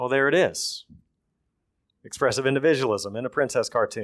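The speaker has a strong Texan accent and ordinary pitch variation. The recording is very clean, with a silent background. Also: man. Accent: thick Texan. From Texas. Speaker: preacher. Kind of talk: sermon. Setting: church.

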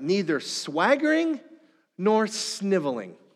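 A man speaks with an Upper Midwest accent. His high voice makes very wide pitch swings. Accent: Upper Midwest American. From northern Minnesota. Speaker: pastor. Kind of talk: sermon.

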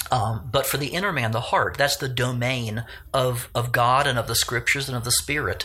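Pitch varies in an ordinary way, and the words come at a fairly quick pace. It is a normal speaking voice. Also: man, medium pitch for a man. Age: 60s. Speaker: pastor. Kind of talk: interview.

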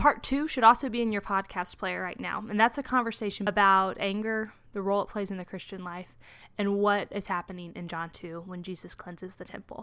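Bright and sharp in tone, the voice moves at a fairly quick pace with ordinary pitch variation in a very clean recording with a silent background. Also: woman. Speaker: church communications director. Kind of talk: podcast intro and outro announcement.

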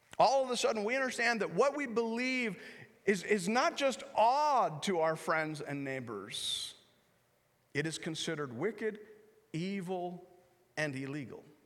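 In a Canadian accent, a man with a high voice and animated tone speaks at a fairly slow pace, his pitch swinging very widely between long, frequent pauses, with audible room echo. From Canada. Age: 40s. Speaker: pastor. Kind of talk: guest sermon in a church, urgent prophetic warning to the congregation. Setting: church service with congregation. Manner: animated, conversational with self-corrections and repetitions.

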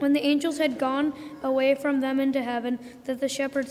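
A woman's fairly quick, high-pitched speech in a monotone, flat intonation, with noticeable background noise. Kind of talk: scripture reading in church service. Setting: church.

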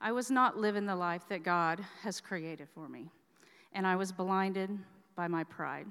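At a moderate pace and medium pitch, a woman speaks with ordinary pitch variation in an unremarkable speaking voice, recorded very cleanly with a silent background. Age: 40s. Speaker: church member giving testimony. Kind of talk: testimony.

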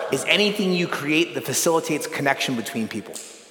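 A man speaks with a Californian accent. There is audible room echo and noticeable background noise. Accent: Californian American English. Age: 40s. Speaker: pastor and retreat speaker. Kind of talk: sermon.

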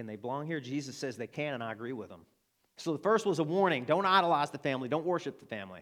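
Speaking with an Arkansas accent at a very fast pace, a man uses a fairly high pitch, lively intonation and big swings in loudness, in a very clean recording with a silent background. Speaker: pastor. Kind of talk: sermon. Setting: church.

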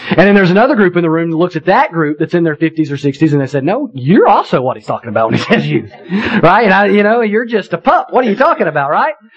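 A man's high-pitched, very fast speech with very wide pitch swings and hardly any pauses, over noticeable background noise. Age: 30s. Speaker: pastor. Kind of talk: sermon.

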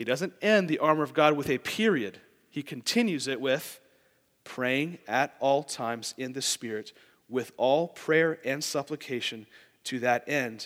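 A man with an unremarkable speaking voice, fairly high in pitch, with ordinary pitch variation, at a fairly slow pace, on a very clean recording with a silent background. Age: 20s. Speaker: lay preacher, church board member. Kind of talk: sermon.

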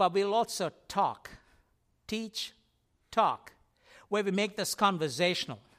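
With a high pitch, a man speaks at a fairly slow pace with long, frequent pauses, in a very clean recording with a silent background and a dry, close sound without echo. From India. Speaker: preacher. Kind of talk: sermon. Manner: halting.

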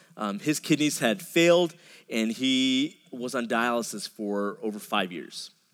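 At a fairly slow pace, a man with an American accent speaks at medium pitch with lively intonation, on a very clean recording with a silent background. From Dallas suburbs, Texas. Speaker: pastor. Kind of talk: sermon. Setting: church. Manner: halting, frequent repetitions.

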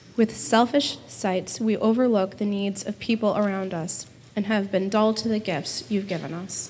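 A woman's plain, everyday voice, medium in pitch, with fairly even intonation and a moderate pace. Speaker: scripture reader. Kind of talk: reading aloud. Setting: church.

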